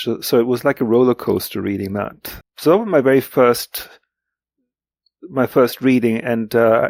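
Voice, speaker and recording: In a German accent, a man speaks at medium pitch with a dry, close sound with no echo on a very clean recording with a silent background. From Greece. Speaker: literary translator. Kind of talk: interview. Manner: halting, many fillers and repetitions.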